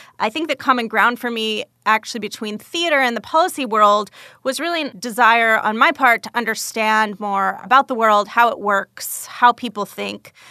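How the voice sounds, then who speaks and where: A woman with a normal speaking voice, fairly high pitch and ordinary pitch variation, at a moderate pace, in a dry, close sound with no echo. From Canada, Calgary. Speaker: foreign policy fellow. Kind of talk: self-introduction monologue.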